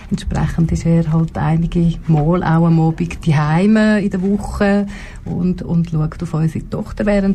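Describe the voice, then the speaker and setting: In a normal speaking voice, a woman with a fairly low pitch talks at a fairly slow pace with fairly even intonation. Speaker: politician. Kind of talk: talk show interview. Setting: radio studio.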